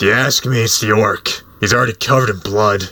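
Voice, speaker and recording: Raspy and fairly low in pitch, a man performs in a put-on character voice. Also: fairly quick pace. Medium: audio drama. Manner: gruff, scornful.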